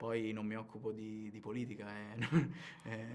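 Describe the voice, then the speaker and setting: Fairly low male voice with vocal fry and monotone, flat intonation, plus audible room echo. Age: 20s. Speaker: actor. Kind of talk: interview. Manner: halting, many fillers and repetitions.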